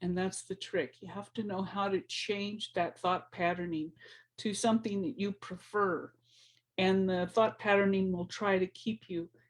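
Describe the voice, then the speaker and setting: A somewhat breathy woman speaks at a medium pitch and a moderate pace. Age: 60s. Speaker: spiritual teacher. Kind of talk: motivational talk. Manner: casual, repetitive.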